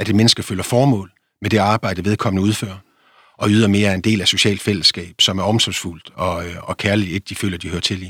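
In a very clean recording with a silent background, a man with an ordinary speaking voice talks at a fairly quick pace, his pitch fairly low and his intonation fairly even. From Denmark, Vendsyssel (North Jutland). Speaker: philosopher and author. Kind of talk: interview.

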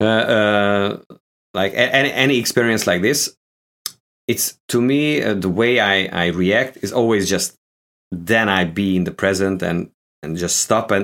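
Speaking with a Hungarian accent, a man uses a fairly low pitch and ordinary pitch variation. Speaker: guitarist. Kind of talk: casual chat. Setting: video call. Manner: halting.

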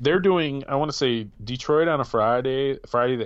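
A man with an ordinary speaking voice and lively intonation. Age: 40s. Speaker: podcast host. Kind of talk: casual chat. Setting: video call.

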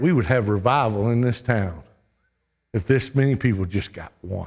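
In a very clean recording with a silent background, a man with a somewhat breathy, medium-pitched voice talks at a moderate pace with ordinary pitch variation. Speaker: preacher. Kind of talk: sermon. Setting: church. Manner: animated; urgent, exhorting.

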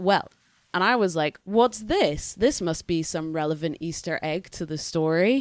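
Speaking at a fairly slow pace, a woman with a slight Scottish accent uses lively intonation in a fairly low pitch. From Scotland. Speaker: podcast co-host. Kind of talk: casual chat podcast.

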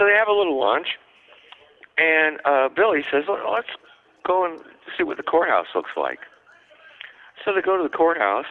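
Lively intonation at a moderate pace, broken by long, frequent pauses. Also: man, high pitch for a man. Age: 60s. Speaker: pinup historian and writer. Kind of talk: casual interview.

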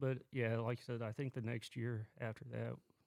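A dark, mellow tone in an Oklahoma accent, with monotone, flat intonation at a moderate pace. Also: man. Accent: Oklahoma rural Southern US. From southwest Oklahoma. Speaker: Marine Corps veteran. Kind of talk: casual chat.

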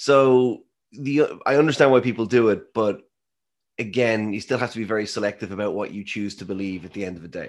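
A man with an Irish accent at a medium pitch and fairly quick pace, ordinary pitch variation, big swings in loudness, and a very clean recording with a silent background. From Ireland. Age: 30s. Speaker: scientist and author. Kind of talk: interview.

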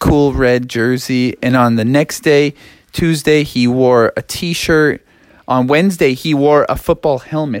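Natural voice for reading

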